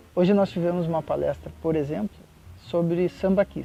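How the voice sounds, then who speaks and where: Over music in the background, a man talks at a fairly slow pace in a high-pitched voice. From Porto Alegre, Rio Grande do Sul, Brazil. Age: 40s. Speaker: works at a federal institute, teaches students. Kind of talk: interview answer.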